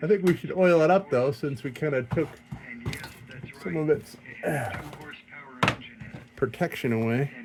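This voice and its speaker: Over noticeable background noise, a man with a fairly high pitch and ordinary pitch variation speaks at a moderate pace, leaving long, frequent pauses. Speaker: lantern restoration hobbyist. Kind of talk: casual workshop tutorial. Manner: rambling conversational.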